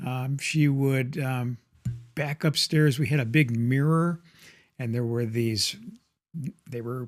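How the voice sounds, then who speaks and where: With music in the background, a man of medium pitch speaks at a very slow pace, his intonation fairly even and his pauses long and frequent. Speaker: grandfather. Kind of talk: nostalgic storytelling to camera.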